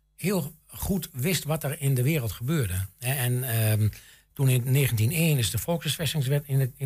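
A man speaks in a dark, mellow tone, somewhat breathy, with ordinary pitch variation. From Enschede, Twente, eastern Netherlands. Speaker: local history society chairman. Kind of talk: radio interview.

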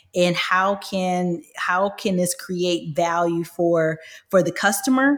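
A woman with an American accent, a fairly low pitch and a very slow pace. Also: ordinary pitch variation. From Michigan, US. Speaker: software company executive. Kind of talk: interview.

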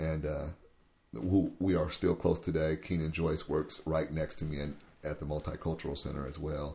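With an American accent, a man speaks in a very deep, low pitch and a dark, mellow, somewhat breathy tone, with monotone, flat intonation. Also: moderate pace. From US Pacific Northwest, Tacoma, Washington. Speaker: youth worker. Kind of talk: interview. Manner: halting.

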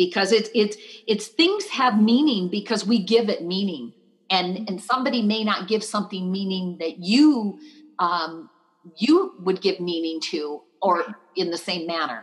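Speaking at a fairly slow pace, a woman uses a medium pitch and lively intonation. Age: 60s. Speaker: dream coach and motivational speaker. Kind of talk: interview. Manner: halting, repeats words.

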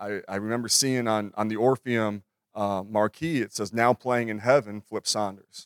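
In a Minnesotan accent, a man talks at a moderate pace with a fairly low pitch and fairly even intonation, the sound dry and close with no echo on a very clean recording with a silent background. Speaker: NBA assistant coach. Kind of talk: conference panel talk. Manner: halting, many repeated words.

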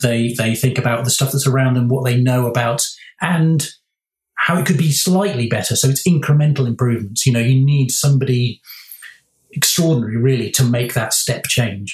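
A somewhat breathy man's voice with medium pitch, ordinary pitch variation, very even loudness, and a fairly quick pace. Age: 50s. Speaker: product designer. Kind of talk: casual chat. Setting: remote call. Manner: halting.

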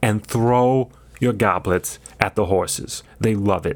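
With a deadpan tone, a man speaks in a fairly low pitch. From Long Island, New York. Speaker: comedy podcast co-host. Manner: deadpan absurd humor.

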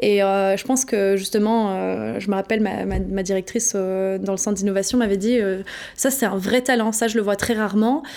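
At a medium pitch and moderate pace, a woman talks with fairly even intonation. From France, Paris. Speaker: innovation consultant. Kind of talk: interview. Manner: hesitant, some repetitions.

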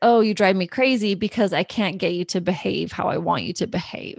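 A woman with an American accent and an ordinary speaking voice talks at a medium pitch and moderate pace with ordinary pitch variation. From southeastern Idaho. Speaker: parent coach. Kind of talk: podcast interview.

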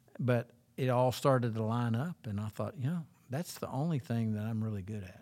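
At a fairly quick pace, a man talks in a normal speaking voice, medium in pitch with ordinary pitch variation. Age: 60s. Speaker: associate pastor. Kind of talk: casual chat.

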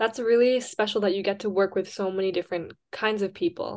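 In a normal speaking voice, a woman talks at a medium pitch and a fairly quick pace with fairly even intonation, over a quiet background. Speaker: student podcast co-host. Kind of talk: interview.

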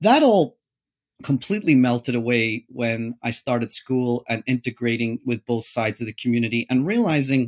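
Recorded dry and close without echo, a man with a Northern Irish accent talks at a moderate pace and medium pitch with ordinary pitch variation. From Northern Ireland, Derry. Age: 30s. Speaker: technology entrepreneur. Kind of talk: interview.

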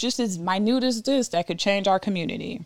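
A woman speaks in a plain, everyday voice at a moderate pace, with medium pitch, ordinary pitch variation, and a very clean recording with a silent background. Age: 20s. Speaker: podcast host. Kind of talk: solo monologue podcast.

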